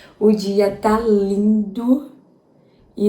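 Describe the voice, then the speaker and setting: A woman's medium-pitched voice amid audible room echo and noticeable background noise. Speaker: vlogger. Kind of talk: personal vlog.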